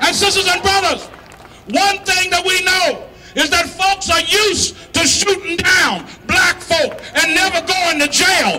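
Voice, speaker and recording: Shouting over loud background noise, a man speaks at a moderate pace with an extremely high pitch. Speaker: activist rally speaker. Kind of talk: fiery protest rally speech to a crowd, call-and-response style. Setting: outdoor rally with crowd. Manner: impassioned, rising oratorical rhythm with stacked repetitions; stammering in bursts while riffing off the crowd. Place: street. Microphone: handheld.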